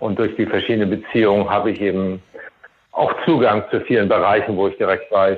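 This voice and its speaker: At a moderate pace, a man talks with very even loudness. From Germany. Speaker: race volunteer director. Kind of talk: interview. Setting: phone call.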